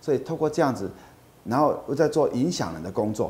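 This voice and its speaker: His intonation is lively. The speaker is a man with a dark, mellow tone. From Taiwan, Kaohsiung. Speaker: nonprofit executive. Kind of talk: interview.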